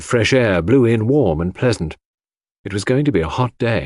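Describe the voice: On a very clean recording with a silent background, a man speaks at a medium pitch and a moderate pace with big pitch swings.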